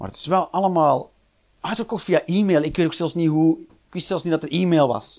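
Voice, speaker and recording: On a very clean recording with a silent background, a man speaks in a high pitch and an animated tone at a moderate pace. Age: 40s. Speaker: comedian. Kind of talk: stand-up.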